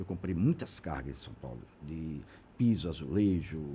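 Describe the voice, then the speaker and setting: The voice belongs to a man and is somewhat breathy. His tone sounds dark and mellow. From Sergipe interior, Brazil (Ribeirópolis). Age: 60s. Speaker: business founder. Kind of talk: interview. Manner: halting, many repeated words.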